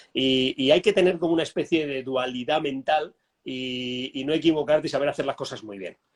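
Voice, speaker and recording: A man's fairly high-pitched voice at a fairly quick pace, with ordinary pitch variation and big swings in loudness. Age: 60s. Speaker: business trainer and author. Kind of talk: interview conversation. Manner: halting, many false starts.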